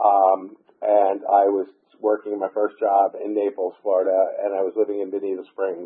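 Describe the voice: A man speaks with an American accent at a moderate pace. His fairly low pitch carries a slightly husky edge.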